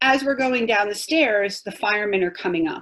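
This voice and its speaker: A woman talks with a New York accent. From Long Island, New York. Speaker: 9/11 survivor giving a talk. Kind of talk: testimony.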